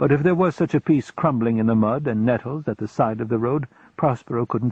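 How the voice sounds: Reading aloud in a natural voice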